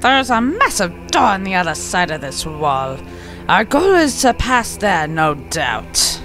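Clear music plays behind a man doing a put-on character voice at a fairly slow pace. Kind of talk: comic put-on monster voice. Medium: game stream. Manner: pompous, boastful.

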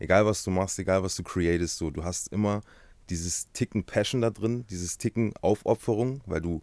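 A man's very deep, low voice at a moderate pace, with fairly even intonation and a dry sound with no echo. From Halle (Saale), Germany. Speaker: tattoo artist, YouTuber, musician. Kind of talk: casual interview chat. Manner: casual, slangy. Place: studio. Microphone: studio mic.

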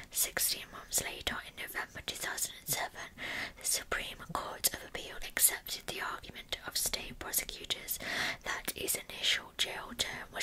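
Whispering and soft-spoken, a woman speaks at a fairly slow pace over light background noise. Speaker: true crime narrator. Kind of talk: true crime storytelling narration. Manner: soft ASMR whisper, close to mic. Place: home room. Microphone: earbuds.

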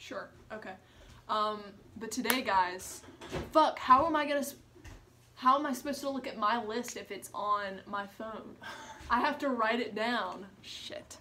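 A woman's fairly slow speech with long, frequent pauses, big swings in loudness, ordinary pitch variation and light background noise. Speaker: vlogger. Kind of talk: casual talk to camera. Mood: playful, joking. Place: home room. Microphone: phone near.

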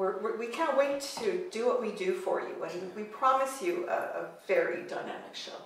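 The pace is fairly slow. Audible room echo can be heard. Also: woman. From France. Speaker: flamenco dancer. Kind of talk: casual interview. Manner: halting. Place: home room.

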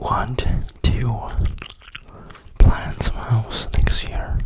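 A man is whispering. His voice is breathy. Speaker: ASMR creator. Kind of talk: ASMR whisper chat. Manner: whispered, breathy. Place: home room. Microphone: studio mic.

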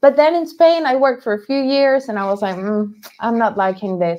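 Against a quiet background, a woman with a Spanish accent talks at a fairly quick pace in a high pitch with lively intonation. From Venezuela. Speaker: toy maker and painter, former chef; podcast guest. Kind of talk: interview. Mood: relaxed, animated. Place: home room.

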